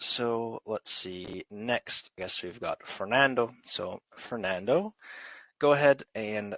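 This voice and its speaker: A man's medium-pitched voice in an American accent, very slow, with ordinary pitch variation, big swings in loudness, and a dry, close sound with no echo. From US. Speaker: English teacher. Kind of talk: online group English class.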